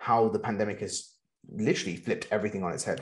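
A man with an unremarkable speaking voice at medium pitch, against a quiet background. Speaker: podcast host. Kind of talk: interview, conversational.

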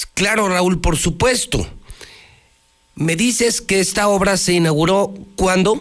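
Speaking at a very slow pace with long, frequent pauses, a man uses a high pitch, fairly even intonation and very even loudness. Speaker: radio news host. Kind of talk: news talk show with opinion. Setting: radio studio, simulcast on TV. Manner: emphatic, repetitive.

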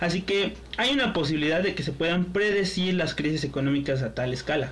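A man's high voice in a Mexican accent, fairly quick, with ordinary pitch variation, amid noticeable background noise and audible room echo. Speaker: podcast co-host. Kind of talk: casual chat.

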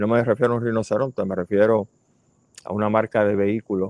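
Flat and monotone, a man with a Puerto Rican accent speaks in a fairly low pitch. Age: 60s. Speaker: podcast host and ecologist. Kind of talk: casual commentary. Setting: outdoor terrace at home.

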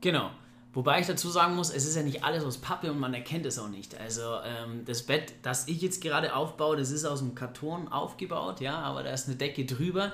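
A man talks at a fairly quick pace with ordinary pitch variation. There is noticeable background noise and audible room echo. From Bavaria, Germany (Ingolstadt). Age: 30s. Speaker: property investor. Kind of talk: casual interview. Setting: recorded after a seminar day.

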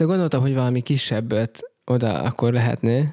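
A man with a dark, mellow tone is heard in a dry, close sound with no echo. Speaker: pastor. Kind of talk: casual chat.

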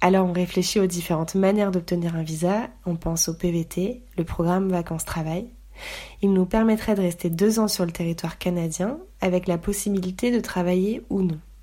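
A woman talks at a moderate pace with a medium pitch. Her tone is dark and mellow, and her intonation fairly even. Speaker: podcast host. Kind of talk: scripted narration; casual chat.

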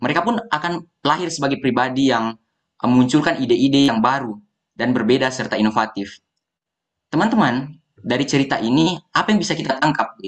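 At a fairly quick pace and fairly high pitch, a man talks in a normal speaking voice with lively intonation. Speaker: university student, foundation founder. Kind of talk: podcast interview.

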